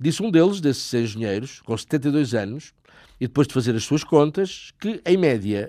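This man's dark, mellow tone carries lively intonation on a very clean recording with a silent background. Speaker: radio host. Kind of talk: scripted narration.

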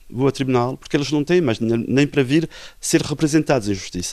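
This man has an ordinary speaking voice, moving at a fairly quick pace with ordinary pitch variation. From Portugal. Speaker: lawyer. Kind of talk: interview.

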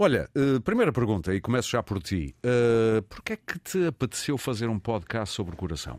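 At a moderate pace and medium pitch, a man speaks with very wide pitch swings in a dry, close sound with no echo. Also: very clean recording, silent background. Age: 50s. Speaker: radio host. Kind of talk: radio interview.

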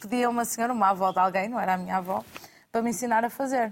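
This is a normal speaking voice from a woman, fairly high in pitch, with ordinary pitch variation. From Portugal. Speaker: chef. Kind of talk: studio panel discussion. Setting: studio.

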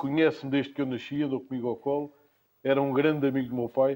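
The tone is dark and mellow, and the intonation stays monotone and flat. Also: man. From Portugal, Lisbon. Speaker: cultural association founder, musician. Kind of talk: interview. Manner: halting, repeats words.

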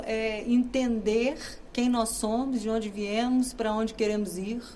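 A woman's fairly high voice with a dark, mellow tone, at a very slow pace amid audible room echo. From Brazil, Minas Gerais. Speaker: actress and comedian. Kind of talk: interview.

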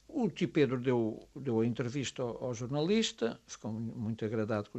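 A man talks at a moderate pace. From Azores, Graciosa and Terceira. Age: 50s. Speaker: writer and high school teacher. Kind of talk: radio interview.

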